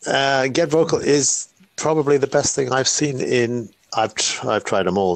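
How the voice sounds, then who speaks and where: At a moderate pace, a man talks in a British accent. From UK. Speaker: retired tech worker, live stream guest. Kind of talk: casual chat. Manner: halting, hesitant.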